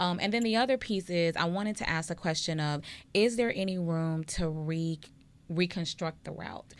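A woman speaks at a moderate pace in an ordinary speaking voice, her fairly low pitch moving with ordinary variation, on a very clean recording with a silent background. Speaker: political talk show co-host. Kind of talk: casual chat. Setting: studio.

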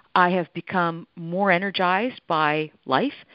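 This is an ordinary speaking voice with a Canadian accent and ordinary pitch variation. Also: woman. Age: 50s. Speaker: holistic nutritionist and author. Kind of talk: radio interview. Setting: phone call.

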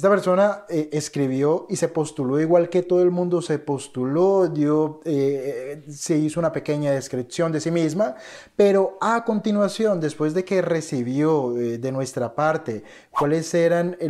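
A man's dark, mellow voice at a fairly slow pace, with ordinary pitch variation and a quiet background. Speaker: trading educator. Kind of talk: casual vlog chat. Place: office. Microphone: studio mic.

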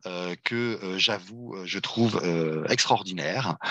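Speaking very slowly in a bright, sharp tone, a man uses ordinary pitch variation, the sound dry with no echo and the background quiet. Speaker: webinar moderator, nonprofit president; webinar moderator. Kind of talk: webinar moderation. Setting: video call. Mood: warm, appreciative. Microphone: headset.

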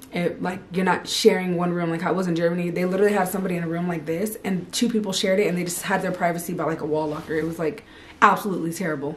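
A woman with an American accent and fairly low pitch, talking at a very fast pace with hardly any pauses, over light background noise. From California. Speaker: army soldier and vlogger; vlogger. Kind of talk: casual vlog. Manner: animated. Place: home room. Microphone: camera far.

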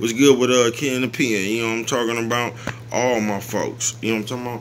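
The pace is very fast. There is light noise in the background. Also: man. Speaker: vlogger. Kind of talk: casual vlog chat. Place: home room. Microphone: phone near.

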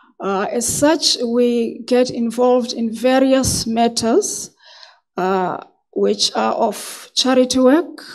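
Over a quiet background, a woman speaks at a fairly slow pace in a high pitch with ordinary pitch variation. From South Africa. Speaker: magistrate and judicial candidate. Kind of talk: formal job interview. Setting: hearing room with microphones. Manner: soft-spoken. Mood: calm, formal, measured. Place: meeting room. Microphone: podium.

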